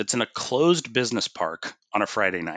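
A man talks with a Pacific Northwest accent. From US Pacific Northwest, Bothell, Washington. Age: 40s. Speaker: city councilor. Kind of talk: interview conversation.

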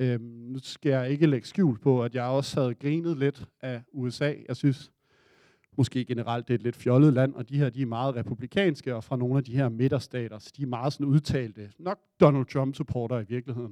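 Medium in pitch, a man speaks at a moderate pace with a dark, mellow tone and fairly even intonation. The recording is dry and close, without echo. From Denmark. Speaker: audience member telling a story. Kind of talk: live storytelling. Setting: stage with audience.

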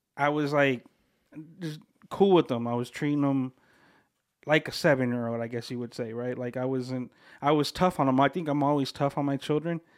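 With an American accent, a man speaks at a fairly quick pace and fairly high pitch, using fairly even intonation and long, frequent pauses. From Southern California (Bloomington, Inland Empire), Mexican heritage. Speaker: podcast producer. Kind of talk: casual chat.

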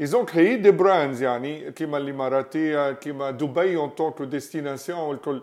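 At a very slow pace, a man talks with a fairly high pitch and ordinary pitch variation. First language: Tunisian Arabic (speaking French). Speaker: podcast host. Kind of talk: casual interview. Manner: halting.

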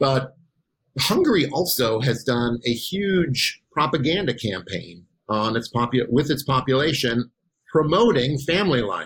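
Here a man with an American accent speaks at medium pitch. His voice is somewhat breathy and his pace fairly slow. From Wisconsin. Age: 50s. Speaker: political science professor. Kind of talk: podcast interview.

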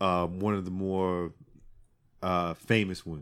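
The very clean recording, with a silent background, captures a man's fairly low-pitched voice. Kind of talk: casual banter, comedic podcast chat.

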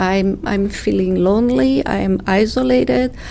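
Against noticeable background noise, a woman talks at a fairly slow pace with a medium pitch. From Brazil. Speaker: nonprofit co-founder, immigrant advocate. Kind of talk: casual interview. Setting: studio.

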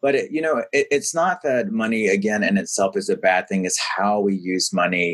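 A man with an American accent at a moderate pace, very even in loudness, with hardly any pauses. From US South, rural southeast North Carolina. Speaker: philanthropy executive and author. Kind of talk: interview conversation.

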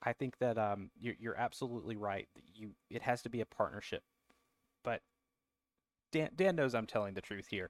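In a Southern US accent, a man speaks at a moderate pace with long, frequent pauses, and the sound is dry and close with no echo. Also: medium pitch for a man, ordinary pitch variation. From US South. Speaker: cigar distributor guest.

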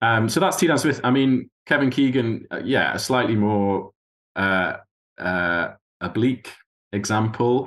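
A man in a northeast English accent, very slow pace, lively intonation. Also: medium pitch for a man. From northeast England, Tyne Valley. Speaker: university lecturer and author. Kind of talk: interview conversation. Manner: hesitant, many fillers.

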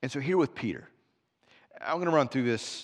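Recorded very cleanly against a silent background, a man talks at medium pitch with ordinary pitch variation. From US Midwest. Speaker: pastor. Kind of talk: sermon.

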